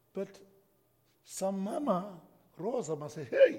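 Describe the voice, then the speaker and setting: A somewhat breathy voice with a dark, mellow tone moves at a fairly slow pace through very wide pitch swings. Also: man. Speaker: pastor. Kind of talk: sermon. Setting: church.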